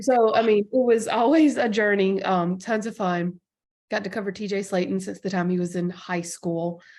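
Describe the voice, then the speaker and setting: In a slight Southern US accent, a woman speaks at a medium pitch with ordinary pitch variation. Her pace is moderate, and the background is quiet. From Alabama, US South. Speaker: sports journalist. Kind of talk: podcast interview.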